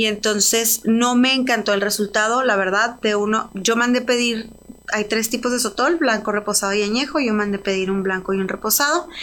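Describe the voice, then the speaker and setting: A woman with an unremarkable speaking voice talks at a moderate pace, her pitch fairly high, with ordinary pitch variation and very even loudness. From Mexico, Ciudad Juárez. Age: 30s. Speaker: entrepreneur, spirits brand founder. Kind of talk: interview. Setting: studio.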